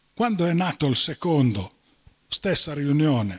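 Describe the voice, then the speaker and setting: A man speaks at a fairly high pitch. His voice moves in very wide pitch swings. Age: 80s+. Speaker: doctor; conference speaker. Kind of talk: lecture. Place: hall. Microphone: handheld.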